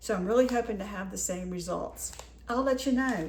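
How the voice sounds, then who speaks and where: This woman talks at a fairly high pitch. There is noticeable background noise and audible room echo. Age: 60s. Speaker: lifestyle vlogger. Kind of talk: casual haul video talk. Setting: home kitchen.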